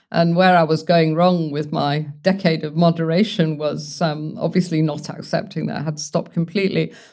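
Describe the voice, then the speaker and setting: A woman speaks in a London accent with a fairly low pitch. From London, England. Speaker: founder of a sobriety support community. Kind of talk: interview.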